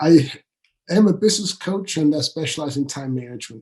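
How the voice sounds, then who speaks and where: This man's voice is somewhat breathy. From Switzerland. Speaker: business coach. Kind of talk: podcast interview.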